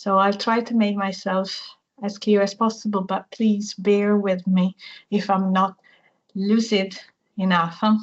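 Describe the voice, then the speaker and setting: At a fairly slow pace, a woman speaks somewhat breathily at a medium pitch in a monotone, flat intonation. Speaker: university language researcher. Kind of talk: academic seminar talk.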